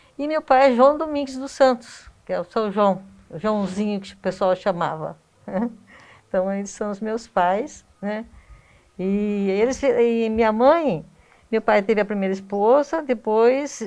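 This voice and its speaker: A woman speaks at a fairly slow pace in a fairly high pitch. Her intonation is lively, and her loudness swings widely. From Brazil, Iperó, São Paulo state. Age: 60s. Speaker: local resident, family history researcher. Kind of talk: interview. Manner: halting.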